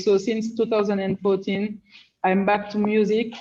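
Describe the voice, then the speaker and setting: A woman speaks with a French-speaking African accent at a medium pitch. Her tone is dark and mellow. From Benin / Senegal. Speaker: rapper. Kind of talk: panel discussion. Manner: halting, many fillers.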